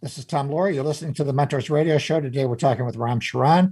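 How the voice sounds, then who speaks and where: At a very fast pace, a man speaks with a dark, mellow tone, a fairly high pitch, some breathiness, and ordinary pitch variation. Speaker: radio host. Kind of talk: interview.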